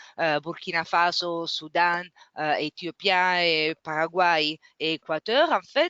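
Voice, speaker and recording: A woman with a non-native accent speaks at a very slow pace. Her pitch is fairly low and her intonation fairly even. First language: not French (speaking French). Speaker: webinar moderator. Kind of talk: webinar closing remarks. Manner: halting, many hesitations.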